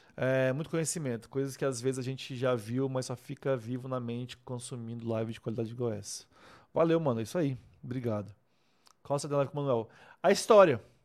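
The recording is very clean with a silent background. A man talks at a fairly quick pace in a medium pitch with ordinary pitch variation. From Brazil, Rondônia (Vilhena). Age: 30s. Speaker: wedding photographer and online mentor. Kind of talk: casual livestream talk to viewers. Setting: live stream. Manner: animated, informal.

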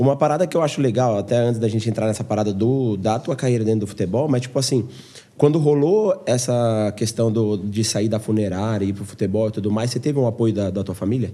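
Talking very fast, a man uses a dark, mellow tone at a medium pitch with ordinary pitch variation. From interior of São Paulo state, Brazil. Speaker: podcast host. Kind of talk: casual interview chat. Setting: host's home.

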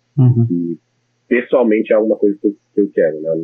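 A man speaks with music in the background. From Brasília, Brazil. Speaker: computer science master's student. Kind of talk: interview. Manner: halting, many fillers.

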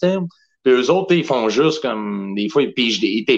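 With a Quebec accent, a man speaks at a medium pitch and fairly slow pace, his intonation lively. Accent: Québécois French. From Quebec, Saint-Hyacinthe. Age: 30s. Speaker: professional wrestler. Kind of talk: casual chat.

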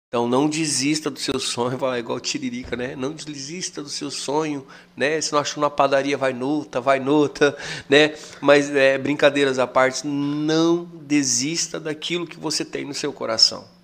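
Fairly high in pitch, a man speaks at a fairly slow pace in a monotone, flat intonation with big swings in loudness. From Mato Grosso, Brazil. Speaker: tour guide. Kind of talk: casual chat.

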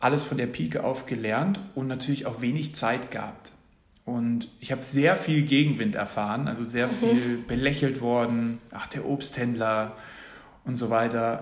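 The man's voice sits at a medium pitch with ordinary pitch variation. He speaks at a moderate pace, and audible room echo surrounds him. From Munich, Bavaria. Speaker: startup founder. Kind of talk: casual interview.

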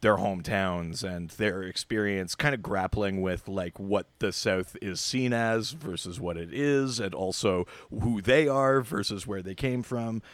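In a Canadian accent, a man speaks at a fairly slow pace with fairly low pitch, a normal speaking voice and ordinary pitch variation, on a very clean recording with a silent background and a dry, close sound with no echo. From southern Ontario, Canada. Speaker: guest, comic fan. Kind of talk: casual chat, podcast discussion.

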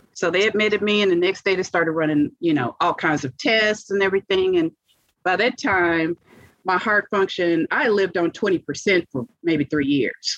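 A woman with an American accent has an unremarkable speaking voice at medium pitch, talking at a moderate pace with ordinary pitch variation and very even loudness, in a dry, close sound with no echo. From US South, Monroe, Louisiana. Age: 50s. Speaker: heart transplant recipient. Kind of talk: interview testimony.

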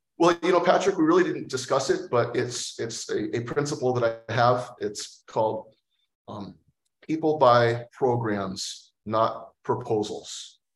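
With an American accent, this somewhat breathy voice moves at a fairly slow pace. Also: man, medium pitch for a man, ordinary pitch variation. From US Pacific Northwest (Port Townsend, Washington). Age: 40s. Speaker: aviation company CEO. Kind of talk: interview.

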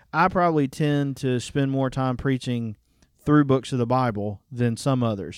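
A man with a Southern US accent speaks at a moderate pace with a medium pitch and ordinary pitch variation. The recording is very clean, with a silent background. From Alabama. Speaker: pastor. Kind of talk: casual chat.

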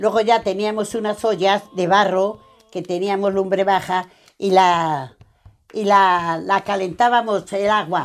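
Her pace very slow, a woman speaks at a medium pitch with fairly even intonation. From Spain, Ciudad Rodrigo (Salamanca). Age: 90s. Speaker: retired elderly resident. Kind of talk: recorded life-story interview.

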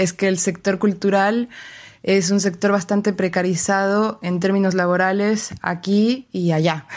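This woman speaks fairly slowly in a flat monotone at a medium pitch. The recording is very clean and the background silent. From Mexico, Querétaro. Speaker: cultural manager. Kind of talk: recorded interview.

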